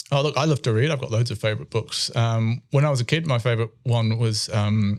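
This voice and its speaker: A man speaks at a fairly quick pace with a British accent and ordinary pitch variation. The recording is very clean, with a silent background. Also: medium pitch for a man. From UK. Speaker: chemistry professor. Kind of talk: interview. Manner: hesitant, with many fillers.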